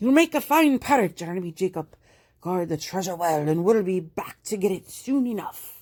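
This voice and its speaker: Loud and gruff, a woman puts on a character voice at medium pitch, recorded very cleanly over a silent background. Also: moderate pace. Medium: read story. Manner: loud, gruff pirate talk.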